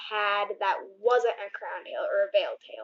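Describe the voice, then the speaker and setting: Speaking fairly slowly, a woman moves through very wide pitch swings. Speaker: aquarium fish keeper. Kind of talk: casual talk to camera. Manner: stuttering.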